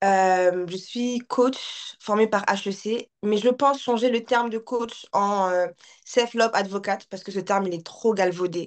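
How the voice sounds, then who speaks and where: An unremarkable speaking voice, fairly even in intonation and fairly slow in pace, against a quiet background. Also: woman, medium pitch for a woman. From France. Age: 30s. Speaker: life coach and content creator. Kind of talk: casual chat.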